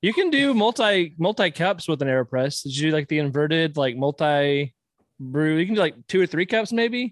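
A man with a normal speaking voice talks at a moderate pace and a fairly high pitch, his intonation lively. The sound is dry and close, with no echo. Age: 30s. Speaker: collector. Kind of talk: casual chat; news reading.

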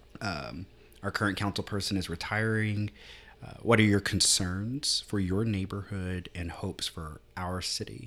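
A man in a normal speaking voice, fairly low in pitch and fairly slow, on a very clean recording with a silent background. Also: ordinary pitch variation. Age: 30s. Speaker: city councilman and teacher. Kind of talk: casual chat. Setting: studio.

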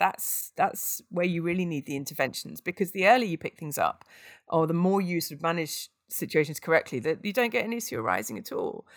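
A woman talks very fast in a British accent with lively intonation. The recording is very clean, with a silent background. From UK. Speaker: aid worker. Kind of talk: interview conversation.

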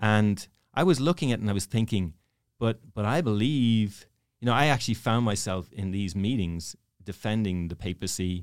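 A man's fairly low pitch, fairly quick pace and ordinary pitch variation. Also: very clean recording, silent background. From Ireland, Dublin. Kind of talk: interview storytelling. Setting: studio.

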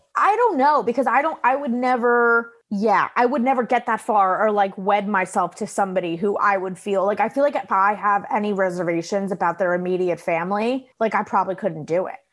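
A woman talks at a fairly quick pace in a normal speaking voice. Her pitch varies in an ordinary way. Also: medium pitch for a woman. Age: 20s. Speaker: comedian. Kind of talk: casual chat.

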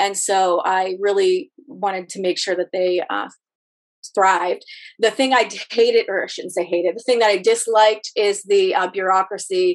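A plain, everyday voice: a woman with an American accent, medium pitch, fairly even intonation and a moderate pace. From Ohio, Rust Belt. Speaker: hair colorist and salon owner. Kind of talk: casual interview.

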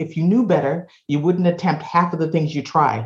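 In an American accent, a woman speaks at a moderate pace with fairly even intonation. Her voice is somewhat breathy. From Boston, Massachusetts. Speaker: advertising agency founder. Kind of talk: interview.

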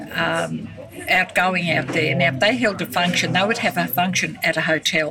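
Amid noticeable background noise, a woman with a rural Queensland accent speaks at a moderate pace and a fairly low pitch, with ordinary pitch variation and very even loudness. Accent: rural Queensland Australian. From Queensland, Australia (Granite Belt, Ballandean). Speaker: retired telephonist and former festival queen. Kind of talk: interview, reminiscing. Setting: cafe. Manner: halting, repetitive.

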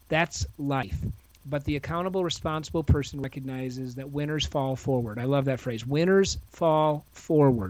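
A man with an unremarkable speaking voice, fairly high pitch, and a moderate pace, on a very clean recording with a silent background. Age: 50s. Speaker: author and speaker. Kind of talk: podcast interview.

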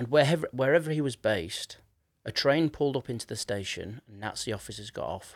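Recorded very cleanly against a silent background, with a dry, close sound and no echo, a man with a Yorkshire accent speaks at a medium pitch with lively intonation. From northern England, Leeds. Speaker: podcast host and musician. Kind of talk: casual interview chat.

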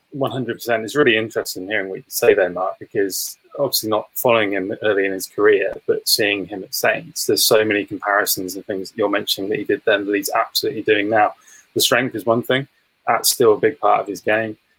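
In an English accent, a man speaks at a fairly quick pace, the sound dry and close with no echo. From England. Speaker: sports content producer. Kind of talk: casual chat. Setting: video call.

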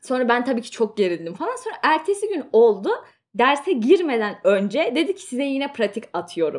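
With her pitch swinging very widely, a woman talks in a high voice. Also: moderate pace. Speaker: student and podcast co-host. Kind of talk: casual chat.

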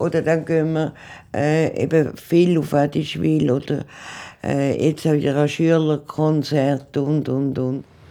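Very slowly, a woman speaks with a very deep, low pitch, a dark, mellow tone and monotone, flat intonation. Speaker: retiree. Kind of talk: interview.

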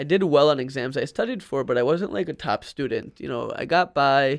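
In a very clean recording with a silent background, a man with an American accent and a normal speaking voice talks at a fairly quick pace, his pitch fairly high with ordinary pitch variation. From New Jersey. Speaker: entrepreneur. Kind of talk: interview. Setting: studio.

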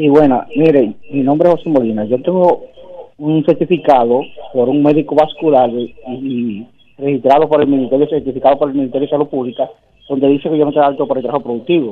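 A man with a fairly high voice and fairly even intonation talks at a very fast pace, broken by long, frequent pauses. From Dominican Republic. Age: 70s. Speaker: caller. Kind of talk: radio call-in.

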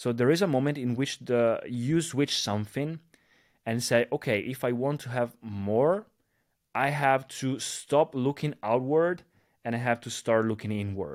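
A man speaks at a fairly slow pace and medium pitch. The recording is very clean, with a silent background. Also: ordinary pitch variation. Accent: Italian. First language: Italian. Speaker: social media influencer. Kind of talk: casual chat.

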